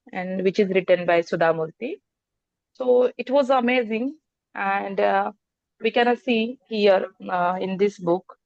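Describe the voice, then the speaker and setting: With a Marathi accent, a woman talks fairly slowly at a medium pitch with ordinary pitch variation, in a dry, close sound with no echo. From Maharashtra, India. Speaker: participant. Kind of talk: group discussion talk. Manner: halting.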